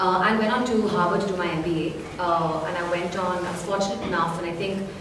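A woman talks at a very fast pace with fairly even intonation. Noticeable background noise and audible room echo fill the recording. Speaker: guest. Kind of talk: interview answer. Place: hall.

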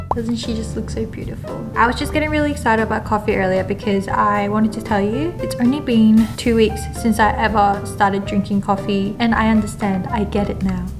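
Over clear background music, a woman talks at a fairly quick pace with hardly any pauses. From South Korea. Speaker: office worker vlogger. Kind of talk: casual talk to camera. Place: office.

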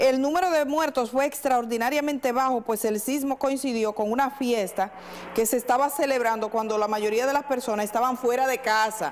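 A woman's high voice at a moderate pace, with very even loudness, ordinary pitch variation and noticeable background noise. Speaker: journalist, radio/TV host. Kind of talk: live call-in show host.

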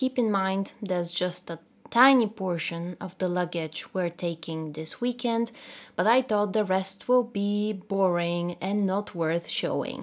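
A woman talks at a fairly slow pace. Her pitch variation is ordinary. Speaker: dog owner vlogger. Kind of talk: casual vlog chat. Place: home room.

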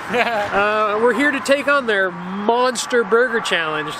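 A man talks in a raised, projected voice. The sound is dry with no echo, with noticeable background noise. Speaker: food challenge vlogger. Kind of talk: casual vlog chat. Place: street. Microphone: phone near.

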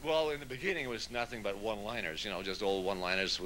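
Lively intonation comes through over light background noise. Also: man. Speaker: comedian guest. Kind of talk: interview answer. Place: home room. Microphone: handheld.

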